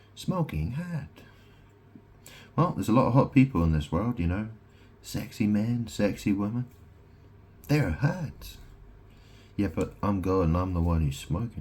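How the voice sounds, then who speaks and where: A man's somewhat breathy, fairly low voice with very wide pitch swings and long, frequent pauses. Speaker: vlogger. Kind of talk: casual monologue. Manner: slow; halting.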